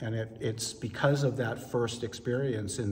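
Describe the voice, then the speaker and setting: Amid audible room echo and noticeable background noise, a man with an American accent speaks with fairly even intonation. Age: 60s. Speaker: ballroom dancer. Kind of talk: interview.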